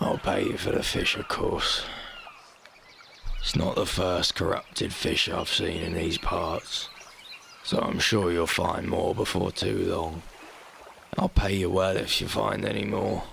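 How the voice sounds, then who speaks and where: A man's raspy, put-on character voice at a fairly slow pace, with long, frequent pauses and clear background noise. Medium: solo performance. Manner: brisk, businesslike.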